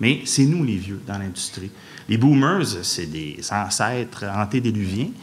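A man speaks in a Quebec accent at a very slow pace. His intonation is lively and his loudness swings widely. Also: fairly low pitch for a man. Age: 40s. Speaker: video game industry director. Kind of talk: public lecture. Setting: stage with audience. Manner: animated.

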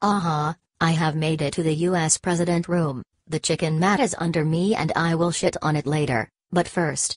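A woman with a fairly low pitch speaks at a moderate pace. The sound is dry and close, with no echo. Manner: villainous, gloating, cackling.

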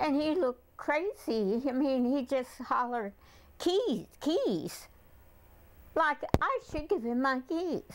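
Speaking very slowly, a woman uses a high pitch and lively intonation. Light background noise can be heard. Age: 70s. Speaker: carjacking victim. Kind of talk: interview answer. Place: home room. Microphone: lapel.

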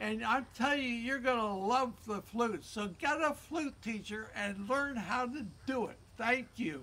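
At an extremely high pitch, a man projects a raised voice at a fairly slow pace with ordinary pitch variation. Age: 80s+. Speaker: flute player. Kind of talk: educational talk to young children. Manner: upbeat. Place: garden. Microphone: phone near.

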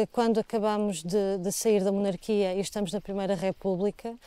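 Her fairly high voice has a dark, mellow tone, as the woman speaks at a moderate pace with fairly even intonation on a very clean recording with a silent background. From Portugal, Trás-os-Montes area near Foz Côa. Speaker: ceramic artist. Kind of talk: interview.

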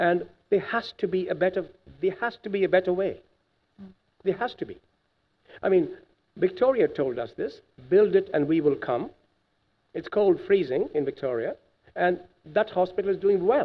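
A man talks at a moderate pace with lively intonation. He leaves long, frequent pauses. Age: 50s. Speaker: cardiologist; witness. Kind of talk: testimony. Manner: animated. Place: hall. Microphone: podium.

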